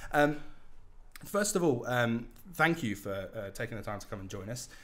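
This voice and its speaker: The voice has lively intonation and big swings in loudness at a moderate pace, with audible room echo. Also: man, medium pitch for a man. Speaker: podcast host. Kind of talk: interview. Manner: halting.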